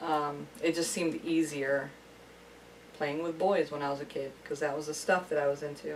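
Over noticeable background noise, a woman speaks at a moderate pace. Her voice is very deep and low, with flat, monotone intonation. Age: 30s. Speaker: friend and amateur film actor. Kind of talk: casual chat.

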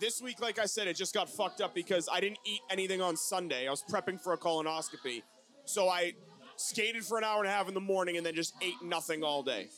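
Over noticeable background noise, a man with a high pitch speaks at a very fast pace with ordinary pitch variation. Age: 30s. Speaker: podcast host. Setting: live in a bar. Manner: loud, profane, jokey.

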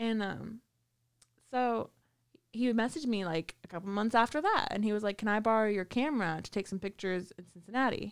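A woman with an unremarkable speaking voice talks at a fairly quick pace with ordinary pitch variation. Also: fairly high pitch for a woman. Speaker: podcast host. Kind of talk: casual chat.

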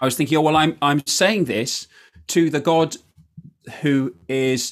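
This man has a southern English accent. He talks at a moderate pace. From southern England (Surrey). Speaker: priest and jazz musician. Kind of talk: interview testimony.

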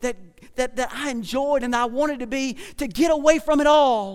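A man's extremely high-pitched voice with a rural Southern US accent, an animated tone and ordinary pitch variation. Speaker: pastor. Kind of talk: sermon. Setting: church. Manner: animated, preacherly.

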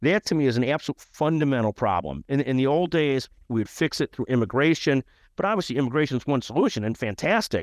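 A fairly high-pitched man with an American accent at a very fast pace, lively intonation and very even loudness, in a dry, close sound with no echo against a quiet background. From US Midwest, Chicago area (Skokie, Illinois). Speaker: healthcare lawyer and media founder. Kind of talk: interview.

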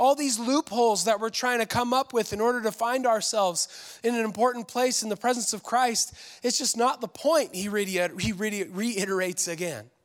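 Barely pausing, a man talks at a fairly quick pace. His voice is extremely high. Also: ordinary pitch variation. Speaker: pastor. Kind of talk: sermon. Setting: church with live audience.

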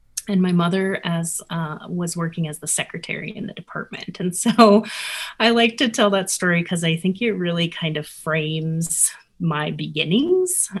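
At a moderate pace, the speaker sounds somewhat breathy and shifts pitch in an ordinary way. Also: woman, fairly low pitch for a woman. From New Mexico (Albuquerque). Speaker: former professor turned artist. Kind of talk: interview testimony. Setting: video call.

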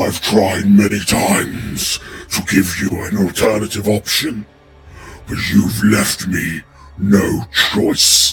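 A raspy, put-on character voice goes at a very slow pace. Clear music plays in the background. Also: man, fairly low pitch for a man. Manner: menacing.

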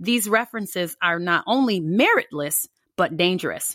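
A woman with a General American accent, lively intonation and a moderate pace, in a dry, close sound with no echo. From United States. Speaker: political commentator podcast host. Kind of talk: angry political rant, impassioned monologue. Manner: emphatic, fired up, indignant, repeating words for force.

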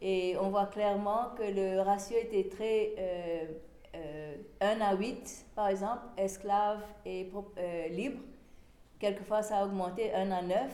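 A woman with an English accent speaks at a very slow pace with long, frequent pauses, a medium pitch and fairly even intonation. Her tone is dark and mellow, and there is audible room echo. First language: English (speaking French). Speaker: historian. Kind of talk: lecture. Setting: small venue with live audience. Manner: halting.

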